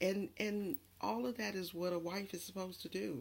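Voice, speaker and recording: A woman at a moderate pace. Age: 50s. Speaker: relationship vlogger. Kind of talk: casual monologue. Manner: halting.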